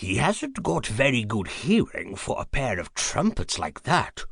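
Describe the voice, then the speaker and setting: A quiet, breathy whisper from a man in a put-on character voice, at a fairly slow pace. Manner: whispering.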